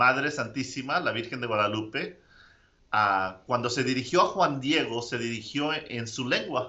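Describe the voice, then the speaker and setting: A man with a medium-pitched voice speaks with lively intonation. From Mexico, Zacatecas. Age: 30s. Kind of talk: interview. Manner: halting.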